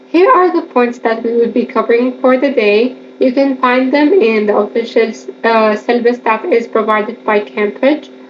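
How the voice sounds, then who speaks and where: The woman's pitch shifts in an ordinary way, with noticeable background noise behind her. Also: moderate pace, very even loudness. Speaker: exam revision tutor. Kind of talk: educational lecture over slides.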